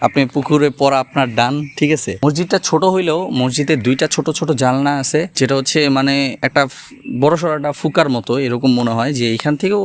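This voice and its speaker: A man with a plain, everyday voice talks at a fairly high pitch, with ordinary pitch variation. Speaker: travel vlogger. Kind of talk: vlog narration.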